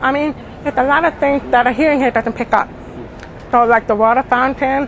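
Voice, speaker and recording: Someone with an American accent speaks at a moderate pace with fairly even intonation over noticeable background noise. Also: woman. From Indiana, US Midwest. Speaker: cochlear implant user. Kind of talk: interview. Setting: conference. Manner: clearer since implant, people say.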